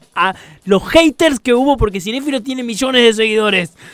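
A man with ordinary pitch variation, music in the background, and a dry, close sound with no echo. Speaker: radio host. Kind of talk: casual chat. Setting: radio studio.

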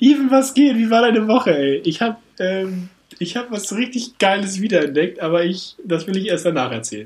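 A man speaks at a moderate pace in a high pitch, with lively intonation. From northern Germany. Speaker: podcast co-host. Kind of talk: casual chat. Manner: animated.

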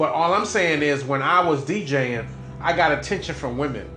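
Music plays in the background and room echo is audible. A man talks at a fairly quick pace, his fairly high voice full of lively intonation. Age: 50s. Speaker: podcast host. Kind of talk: casual chat.

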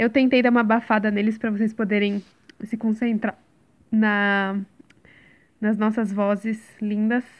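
In a very clean recording with a silent background, a woman speaks at a fairly high pitch with monotone, flat intonation and very even loudness. Her pace is fairly slow, with long, frequent pauses. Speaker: podcast host. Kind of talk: casual chat. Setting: at home.

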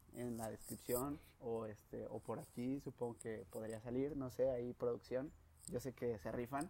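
A man speaks at a moderate pace in a medium pitch, with a dark, mellow tone and fairly even intonation. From León, Guanajuato, Mexico. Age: 20s. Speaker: podcast host, engineering student. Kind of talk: casual chat.

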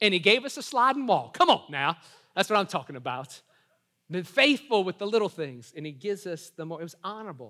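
A man with an American accent and a high pitch speaks in a raised, projected voice at a fairly quick pace, his bright, sharp, animated tone marked by very wide pitch swings and big swings in loudness, all on a very clean recording with a silent background. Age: 40s. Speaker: pastor. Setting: church service with live audience. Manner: animated and rapid, with repeated words and quick self-corrections.

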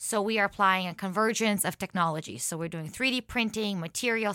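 A woman talks at a moderate pace in a bright, sharp tone with fairly even intonation. The recording is very clean, with a silent background and a dry, close sound with no echo. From Ukraine and Israel. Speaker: climate tech founder. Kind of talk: casual chat.

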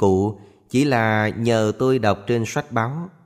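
On a very clean recording with a silent background, a man speaks at a medium pitch. His pitch varies in an ordinary way. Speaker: audiobook narrator. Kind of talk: scripted narration of Buddhist short stories.

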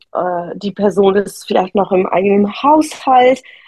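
A woman at a very slow pace, somewhat breathy, with a dark, mellow tone and lively intonation. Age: 30s. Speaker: entrepreneur and keynote speaker. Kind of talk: interview about personal trauma. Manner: hesitant, many fillers.

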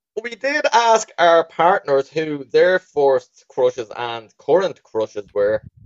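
A man talks with a strong Dublin accent and ordinary pitch variation. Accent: thick Dublin. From Dublin, Ireland. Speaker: podcast co-host. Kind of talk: informal, profane slang. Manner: casual, jokey banter.

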